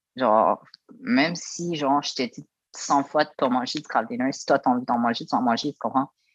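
A man with a Quebec accent speaks at a fairly high pitch. The sound is dry and close with no echo, over a quiet background. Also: ordinary pitch variation, moderate pace. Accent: Québécois French. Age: 20s. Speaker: former youth protection resident. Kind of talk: interview testimony.

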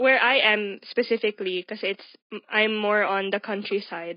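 With a Filipino accent, a woman speaks at a fairly high pitch and ordinary pitch variation. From Philippines. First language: Tagalog. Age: 20s. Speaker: podcast guest. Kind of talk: casual chat.

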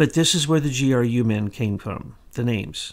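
This very clean recording has a silent background, and a man talks at a moderate pace. His intonation is lively. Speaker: podcast host, commentator. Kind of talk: opinionated commentary.

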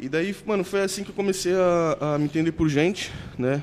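The voice belongs to a man. His pitch rises and falls an ordinary amount. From Baixada Santista, São Paulo state, Brazil. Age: 20s. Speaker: athlete. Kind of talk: casual chat.

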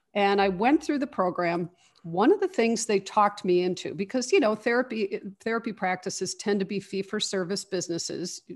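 A woman with an American accent, medium pitch, a plain, everyday voice and a moderate pace. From Chicago, US Midwest. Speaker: therapy practice founder, psychologist. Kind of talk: interview.

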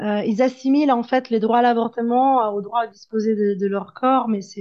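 A woman talks at a fairly slow pace with a fairly high pitch. Her tone is dark and mellow, with ordinary pitch variation. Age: 30s. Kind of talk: testimony. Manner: halting.

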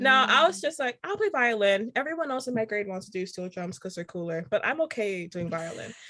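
A woman with an American accent speaks fairly quickly at a fairly high pitch. Her tone is bright and sharp, and her intonation is lively. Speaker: composer. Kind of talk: casual interview chat.

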